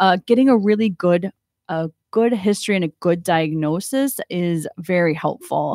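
With an American accent, a woman speaks at a medium pitch and moderate pace with ordinary pitch variation. The sound is dry and close, with no echo. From Ohio. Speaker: psychiatrist. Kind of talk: radio interview. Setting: radio studio. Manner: hesitant, many ums.

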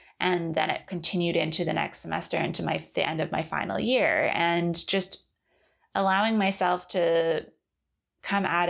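There's a quiet background as a woman with an unremarkable speaking voice talks at a fairly low pitch with fairly even intonation. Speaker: podcast host and artist. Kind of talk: solo podcast monologue about a book series. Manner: reflective, conversational.

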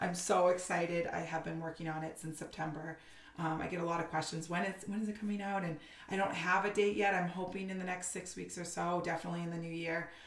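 With an American accent, a woman speaks very fast in a fairly low, flat monotone, with noticeable background noise and audible room echo. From Massachusetts, north of Boston. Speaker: Instagram creator and mother. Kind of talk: casual interview.

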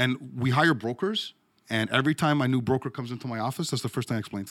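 Talking very fast, a man uses a medium pitch with ordinary pitch variation and big swings in loudness. The recording is very clean, with a silent background. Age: 40s. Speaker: mortgage broker, brokerage co-owner. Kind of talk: interview.

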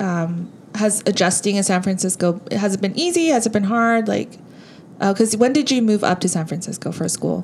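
Somewhat breathy and at medium pitch, a woman speaks at a moderate pace with ordinary pitch variation. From Southern California, Korean American (born in South Korea). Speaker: podcast co-host. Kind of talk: casual chat.

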